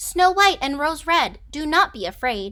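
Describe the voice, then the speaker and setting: A woman does a put-on character voice at an extremely high pitch, talking at a moderate pace. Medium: read story.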